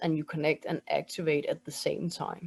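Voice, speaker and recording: Speaking at a moderate pace with a Danish accent, a woman has a fairly low pitch and a dark, mellow tone. The sound is dry and close, with no echo. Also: very clean recording, silent background. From Denmark. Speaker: spiritual mentor and energy healer. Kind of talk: interview with guided breathing exercise.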